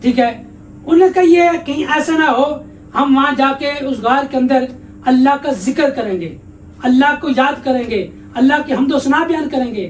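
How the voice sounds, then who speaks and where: Through noticeable background noise comes a man's extremely high voice with ordinary pitch variation. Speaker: Islamic scholar / mufti giving a sermon. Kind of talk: religious sermon / interview answer.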